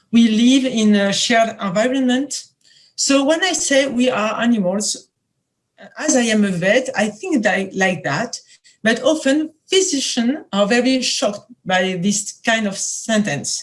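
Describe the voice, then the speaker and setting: Speaking with a French accent, a woman talks at a fairly slow pace. Her voice is somewhat breathy and fairly high. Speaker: veterinary epidemiology professor. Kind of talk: lecture. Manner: halting, many hesitations.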